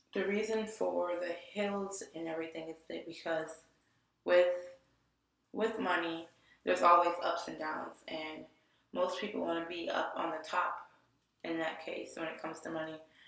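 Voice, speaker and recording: In an American accent, a woman speaks at a moderate pace and fairly low pitch, with fairly even intonation. Long, frequent pauses break up her speech amid audible room echo. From Detroit area, Michigan. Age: 20s. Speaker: graphic design student. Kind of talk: portfolio presentation. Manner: halting, many restarts and fillers.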